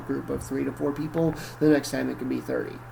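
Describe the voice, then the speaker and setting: A man talks at a very fast pace. There is noticeable background noise and audible room echo. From northern Michigan (Cadillac). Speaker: college professor. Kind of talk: lecture. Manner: casual, conversational.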